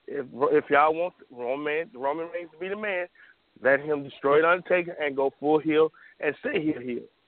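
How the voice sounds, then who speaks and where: Moderately paced, a man talks in an ordinary speaking voice that sits fairly high in pitch. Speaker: caller. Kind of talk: casual chat. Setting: phone call.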